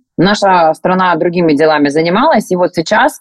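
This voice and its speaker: The speaker is a woman. She has a normal speaking voice. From Rostov region, southern Russia. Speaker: clothing brand co-founder. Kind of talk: interview.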